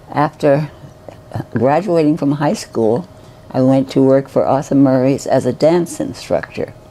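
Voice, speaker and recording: A woman's very deep, low voice, very even in loudness and fairly slow in pace, over noticeable background noise. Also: ordinary pitch variation. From New York City (Bronx). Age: 90s. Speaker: retirement home resident, retired nurse. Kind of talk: personal life story interview. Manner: halting, with false starts.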